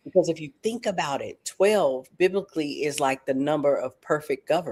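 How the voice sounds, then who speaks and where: With a Southern US accent, this speaker talks at a moderate pace in an animated tone. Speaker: talk show host. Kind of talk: talk show interview. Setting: livestream.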